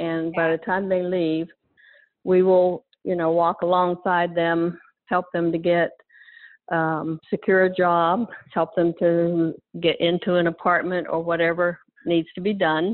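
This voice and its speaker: At a fairly slow pace, a woman with an American accent speaks in a fairly low pitch with monotone, flat intonation. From western Pennsylvania. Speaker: ministry worker. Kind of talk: testimony.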